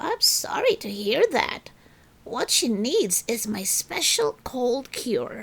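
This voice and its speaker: Using a put-on character voice, a woman talks at a very slow pace and a high pitch. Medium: read story. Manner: warm, welcoming.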